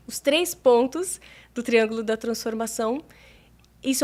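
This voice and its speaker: Her voice is high-pitched for a woman. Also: very clean recording, silent background. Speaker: meditation mentor and therapist. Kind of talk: interview.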